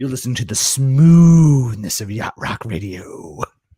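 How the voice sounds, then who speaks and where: A man performs a put-on character voice. It sits at a medium pitch with lively intonation. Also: moderate pace. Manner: smooth.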